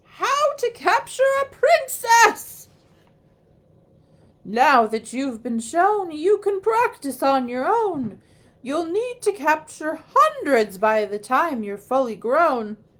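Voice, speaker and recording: A woman performs a put-on character voice at a high pitch. She moves through very wide pitch swings at a very slow pace. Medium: read story. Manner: teacherly.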